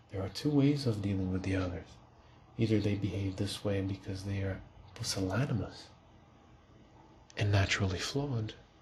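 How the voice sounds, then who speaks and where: Against noticeable background noise, a man with a fairly low voice talks at a moderate pace with ordinary pitch variation. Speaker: ASMR reader / channel host. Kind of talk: soft-spoken ASMR book reading for sleep.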